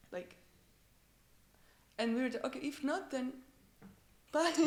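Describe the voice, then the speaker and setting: Lively intonation from a woman with a non-native accent. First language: not English. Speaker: electronic music artist. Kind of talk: interview. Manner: animated.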